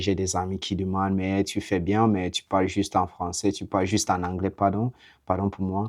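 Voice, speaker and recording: Against a quiet background, a man with an English accent talks at a moderate pace in a very deep, low pitch. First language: English (speaking French). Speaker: vlogger. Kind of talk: casual monologue to camera. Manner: halting, hesitant.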